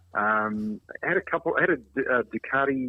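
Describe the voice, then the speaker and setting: A man speaks with ordinary pitch variation. He has a New Zealand accent. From New Zealand, Invercargill. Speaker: former automotive mechanic, motorcycle collector. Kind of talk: casual interview chat. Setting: podcast.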